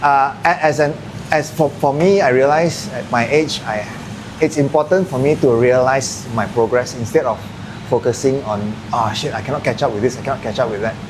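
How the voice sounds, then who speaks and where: A man with a Malaysian accent at a medium pitch, ordinary pitch variation and a fairly quick pace, over noticeable background noise. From Malaysia, Kedah. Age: 40s. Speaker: martial arts gym owner. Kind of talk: casual podcast interview.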